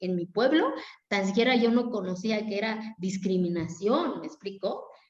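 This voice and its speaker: A woman with an Oaxacan accent. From Mexico, Oaxaca Zapotec community. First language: Zapotec (speaking Spanish). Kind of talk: interview. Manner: animated, colloquial.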